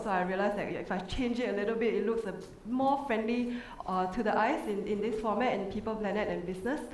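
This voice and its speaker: Fairly quick speech from a woman, with audible room echo and noticeable background noise. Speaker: resort sustainability manager, conference panelist. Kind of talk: conference panel presentation. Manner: fast.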